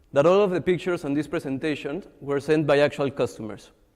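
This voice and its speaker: Against a quiet background, a man with a Mexican accent talks at a very fast pace, his fairly high pitch showing ordinary variation. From Mexico. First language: Spanish. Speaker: social entrepreneur. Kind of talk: pitch presentation.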